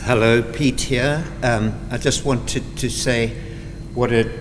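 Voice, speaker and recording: Amid noticeable background noise and audible room echo, a man with a medium pitch speaks at a fairly slow pace, his pitch varying in an ordinary way. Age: 70s. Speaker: doctor. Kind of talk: short greeting speech.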